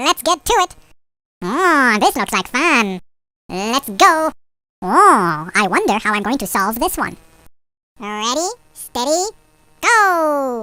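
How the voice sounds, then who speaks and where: In a put-on character voice, a female-sounding speaker uses a high pitch with very wide swings, moving at a fairly slow pace with long, frequent pauses on a very clean recording with a silent background. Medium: video game. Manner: teasing, chuckling.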